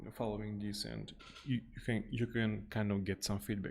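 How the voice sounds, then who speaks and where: A man with a non-native accent talks at a fairly slow pace, his fairly low pitch held in monotone, flat intonation. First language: not English. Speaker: software developer streaming coding. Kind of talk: live coding stream. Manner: halting, many false starts.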